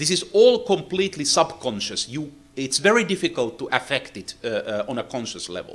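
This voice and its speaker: Talking at a fairly quick pace with hardly any pauses, a man with a fairly high voice and vocal fry makes very wide pitch swings. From Finland. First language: Finnish. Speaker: acoustics engineer, seminar lecturer. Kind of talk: technical lecture. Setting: lecture hall with interpreter. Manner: halting, with many fillers.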